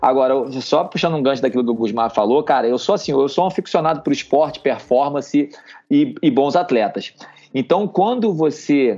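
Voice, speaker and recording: Lively intonation marks this man's fairly high-pitched voice. His tone is dark and mellow, at a moderate pace. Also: very even loudness. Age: 40s. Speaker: army officer and amateur triathlete. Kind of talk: casual chat. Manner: animated.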